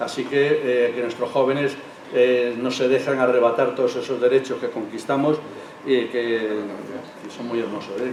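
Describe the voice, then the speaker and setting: Amid noticeable background noise and audible room echo, a man at a medium pitch speaks at a fairly slow pace in a monotone, flat intonation. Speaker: former union activist. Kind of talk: testimony. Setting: public event with audience.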